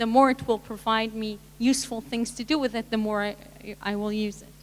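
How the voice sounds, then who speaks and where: A woman talks fairly quickly at a fairly high pitch, with a strong non-native accent. Her intonation is monotone and flat, and her loudness swings widely. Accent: thick foreign. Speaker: tech panelist. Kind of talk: panel discussion. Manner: halting.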